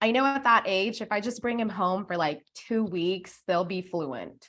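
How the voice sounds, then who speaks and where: Against a quiet background, a woman talks fairly slowly in a medium pitch with ordinary pitch variation. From Philippines. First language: Tagalog. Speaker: community event organizer. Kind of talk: podcast interview. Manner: hesitant, many fillers.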